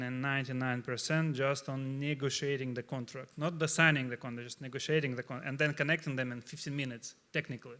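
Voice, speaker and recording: In a Russian accent, the voice has a bright, sharp tone and fairly even intonation on a very clean recording with a silent background. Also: man. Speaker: startup CEO, panelist. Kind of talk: panel discussion. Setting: stage with audience. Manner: halting, many fillers.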